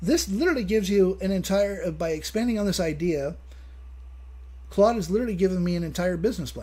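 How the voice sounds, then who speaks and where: A man speaks at a very fast pace with audible room echo. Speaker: live streamer. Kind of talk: live stream casual chat. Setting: live stream. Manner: halting.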